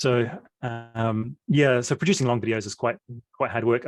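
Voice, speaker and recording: In a dry, close sound with no echo, a man with a medium pitch speaks at a moderate pace. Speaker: software developer and video tutor. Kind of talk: interview. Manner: hesitant, many fillers.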